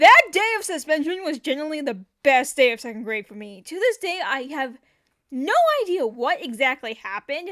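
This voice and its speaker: A woman's raised, projected voice, high-pitched with a bright, sharp tone, shows very wide pitch swings and big swings in loudness. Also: moderate pace. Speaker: storytelling artist youtuber. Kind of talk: storytime narration. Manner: casual, conversational.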